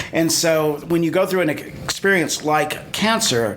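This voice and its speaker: A man's fairly high-pitched voice with ordinary pitch variation, set against noticeable background noise. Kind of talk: interview host.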